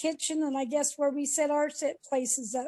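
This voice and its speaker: This voice has a dark, mellow tone and an American accent. It moves at a moderate pace with ordinary pitch variation. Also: woman. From Idaho, US. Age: 70s. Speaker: mother sharing family memories. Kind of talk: family storytelling interview. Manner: halting.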